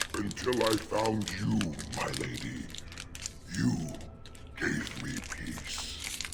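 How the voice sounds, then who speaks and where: Over loud background noise, a man puts on a character voice. He speaks at a fairly low pitch and a very slow pace. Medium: game stream. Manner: gruff, intense.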